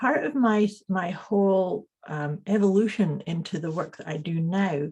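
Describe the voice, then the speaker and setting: A woman with a Scottish accent talks at a fairly slow pace and medium pitch. Her tone is dark and mellow, and somewhat breathy. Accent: Scottish, noticeable. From Scotland (teen years), born in Canada. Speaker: intuitive coach and energy healer. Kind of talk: interview conversation. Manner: halting, repeats words.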